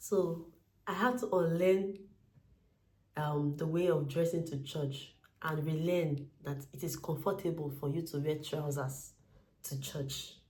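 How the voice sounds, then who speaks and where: With a Nigerian accent, this voice has a dark, mellow tone and sounds somewhat breathy. It moves at a fairly slow pace with ordinary pitch variation. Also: woman, very deep, low pitch for a woman. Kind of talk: casual talk to camera. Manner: humorous, chatty.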